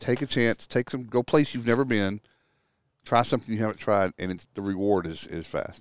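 With an American accent, a man with a normal speaking voice talks fairly quickly at medium pitch with ordinary pitch variation, in a dry, close sound with no echo on a very clean recording with a silent background. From Texas. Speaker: restoration industry consultant. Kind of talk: casual chat. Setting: outdoors on a back deck.

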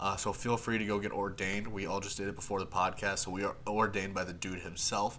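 Fairly quick and fairly even in intonation, a man speaks at a fairly low pitch with a bright, sharp tone. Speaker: podcast host, entertainment editor. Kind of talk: casual chat.

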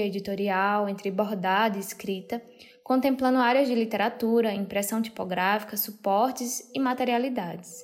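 Fairly even in intonation, a woman with an unremarkable speaking voice talks at a moderate pace and a fairly high pitch. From Brazil, Ceará (Crato). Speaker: artist and designer, podcast host. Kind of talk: scripted narration.

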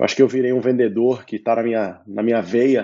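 Here is a man with an unremarkable speaking voice. He talks at a moderate pace and a medium pitch. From Brazil, São Paulo. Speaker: entrepreneur, startup CEO. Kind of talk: casual interview.

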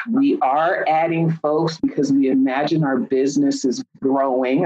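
A woman speaks at a fairly slow pace with a very deep, low pitch and lively intonation. There is noticeable background noise. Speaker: career coach and clinical psychologist. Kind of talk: interview. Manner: speeds up when excited.

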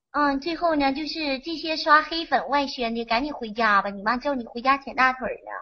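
A woman talks at a moderate pace with hardly any pauses, her high voice showing ordinary pitch variation. Her loudness swings widely. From Henan, China. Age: young. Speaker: caller. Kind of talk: casual chat.

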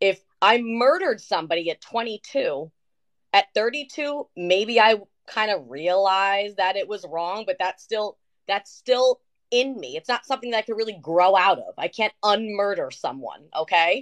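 A woman with a plain, everyday voice speaks at a medium pitch and a fairly slow pace, her intonation lively, in a dry, close sound with no echo. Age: 30s. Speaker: podcast co-host. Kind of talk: casual chat. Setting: live stream.

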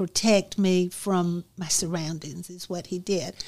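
The speech comes in an Alabama accent at a fairly slow pace. It is a very clean recording with a silent background. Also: woman. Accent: Southern US (Alabama). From US South, Alabama (Dothan). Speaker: author. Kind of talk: interview, personal story.

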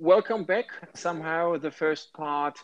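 With a German accent, a man with a fairly high voice speaks at a moderate pace in a dry, close sound with no echo. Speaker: project management consultant. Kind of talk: casual chat.

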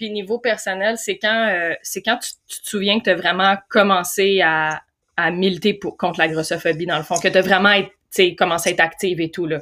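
A woman talks at a moderate pace with a bright, sharp tone. Her intonation stays fairly even while her loudness swings widely. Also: medium pitch for a woman. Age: 30s. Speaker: podcast host. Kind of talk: interview.

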